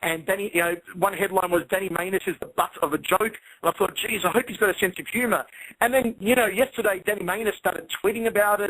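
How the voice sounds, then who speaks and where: A man with an Australian accent talks very fast with a high pitch. His tone is bright and sharp, his intonation fairly even. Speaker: MMA commentator. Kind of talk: interview.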